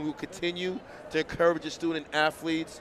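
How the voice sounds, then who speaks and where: A man speaks in an animated tone. He keeps a moderate pace. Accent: Boston. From Boston, Massachusetts. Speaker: track meet announcer. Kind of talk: live commentary.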